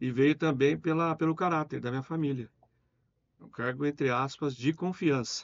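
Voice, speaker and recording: A man speaks at a moderate pace in a plain, everyday voice, pitched fairly high with fairly even intonation. His loudness swings widely. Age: 60s. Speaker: business owner. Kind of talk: interview.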